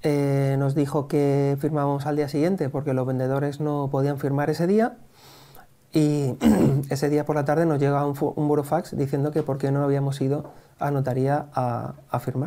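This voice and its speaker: A man with a dark, mellow tone speaks at a moderate pace in a monotone, flat intonation. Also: very even loudness. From Spain, Elche (Valencian Community); Valencian Community, Spain. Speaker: real estate investor; interview guest. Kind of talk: interview. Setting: in person. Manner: hesitant, many fillers. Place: cafe. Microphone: lapel.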